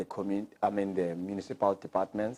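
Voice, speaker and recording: A man talks in a very deep, low voice with a flat, monotone delivery. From South Africa, Cape Town. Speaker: skills program graduate and business owner. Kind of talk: testimony. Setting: graduation ceremony. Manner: halting, with fillers.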